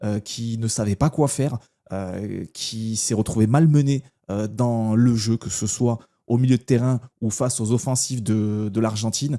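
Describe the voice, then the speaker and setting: A man with a medium-pitched voice and a dark, mellow tone speaks at a fairly slow pace with fairly even intonation. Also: dry, close sound with no echo, very clean recording, silent background. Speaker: football YouTuber. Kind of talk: casual match commentary vlog. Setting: at home at night, lights off. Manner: soft-spoken; hesitant, many fillers.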